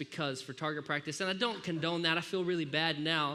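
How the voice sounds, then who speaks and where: A man with a slight southern Alabama accent speaks at a fairly high pitch in a bright, sharp tone with ordinary pitch variation. Room echo is audible. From US South, Alabama (Grand Bay). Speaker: pastor. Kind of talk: sermon. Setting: church. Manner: animated.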